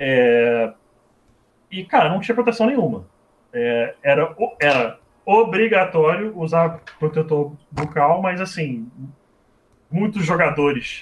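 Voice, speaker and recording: A man at a high pitch, with very wide pitch swings, a very slow pace and long, frequent pauses. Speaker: former American football quarterback and game commentator. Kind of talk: casual chat.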